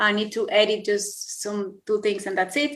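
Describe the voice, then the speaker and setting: A woman with a Spanish accent has a fairly high pitch and a bright, sharp tone. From Colombia. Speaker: yoga teacher. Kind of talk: interview. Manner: animated.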